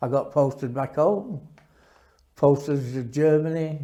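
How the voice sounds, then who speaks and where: A man in a Yorkshire accent, fairly high in pitch, with a dark, mellow tone and fairly even intonation. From northern England, Sheffield. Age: 80s+. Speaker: war veteran. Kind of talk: testimony. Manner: halting.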